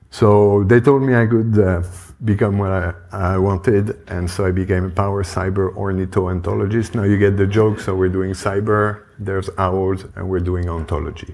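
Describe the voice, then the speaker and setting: A man with a French accent speaks in a fairly low voice with fairly even intonation. He keeps a moderate pace with hardly any pauses. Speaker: conference speaker on cybersecurity tooling. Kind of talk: conference talk. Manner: casual, hesitant with fillers.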